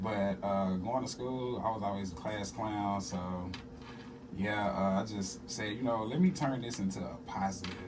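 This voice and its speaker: Fairly low-pitched male voice at a moderate pace, ordinary pitch variation, audible room echo and noticeable background noise. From South Arkansas, US South. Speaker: hip-hop artist and stand-up comedian. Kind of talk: radio interview. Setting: radio studio.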